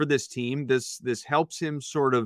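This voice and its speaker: Dry and close with no echo, this recording has a quiet background. A man speaks at a moderate pace in a bright, sharp tone with ordinary pitch variation. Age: 40s. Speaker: basketball podcaster. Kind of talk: casual chat. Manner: animated.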